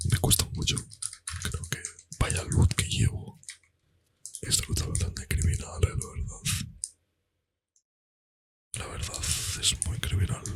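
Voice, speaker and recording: Very deep and low in pitch, a man speaks at a very slow pace with long, frequent pauses, a relaxed tone and lively intonation. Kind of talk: casual talk to camera while gaming. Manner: soft-spoken, relaxed.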